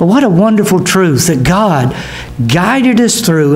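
A man's voice with faint music in the background. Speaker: pastor. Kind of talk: sermon. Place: church. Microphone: podium.

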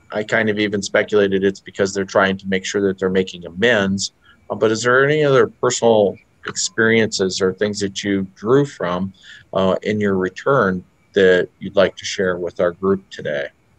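At a moderate pace, a man with a fairly low pitch speaks with fairly even intonation against a quiet background. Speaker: museum executive director; interviewer, museum host. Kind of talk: interview host. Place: office. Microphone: video call.

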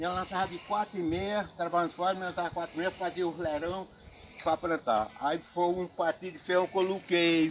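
Fairly quick, fairly even speech from a man pitched high, over noticeable background noise. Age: 70s. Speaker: farmer. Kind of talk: interview answer. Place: farm. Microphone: phone near.

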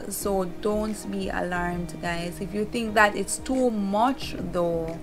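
A woman's fairly even intonation over faint music in the background. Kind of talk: casual vlog chat. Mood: warm, reassuring. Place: home room. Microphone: phone near.

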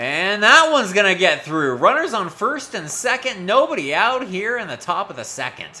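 An animated man's raised, projected voice, high in pitch with very wide pitch swings and big swings in loudness, at a moderate pace over noticeable background noise. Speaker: streamer commentating a baseball video game. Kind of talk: sports commentary. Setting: live stream, gaming video. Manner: animated, groaning and cheering along with the action.

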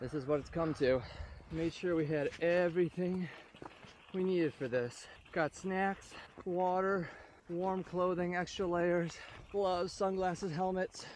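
A man with a high voice talks at a fairly slow pace, leaving long, frequent pauses. His intonation is fairly even, and the dry sound with no echo carries light background noise. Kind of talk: casual vlog chat. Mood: playful, joking. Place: bicycle. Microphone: lapel.

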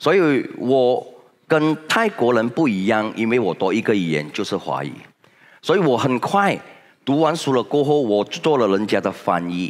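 A man speaks at a moderate pace with very wide swings in pitch over a quiet background. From Malaysia. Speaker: senior direct-sales leader; motivational speaker. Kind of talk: motivational talk. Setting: stage with audience. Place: hall. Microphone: headset.

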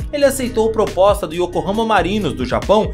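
The pace of the speech is fairly quick. Behind it, music plays. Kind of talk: football story narration. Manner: casual, conversational.

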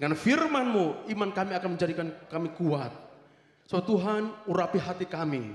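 The room echo is audible as a man speaks at a high pitch. He keeps a moderate pace with lively intonation. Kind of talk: public prayer. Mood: fervent, earnest. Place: church. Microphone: handheld.

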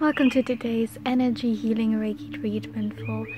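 A woman is heard in a dry sound with no echo, against noticeable background noise. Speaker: reiki practitioner / energy healer. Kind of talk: ASMR reiki healing guided meditation. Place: garden. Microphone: phone near.

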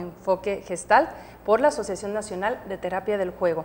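Light background noise sits behind a woman talking at a fairly quick pace. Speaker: TV show co-host. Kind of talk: host introducing guests. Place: studio.

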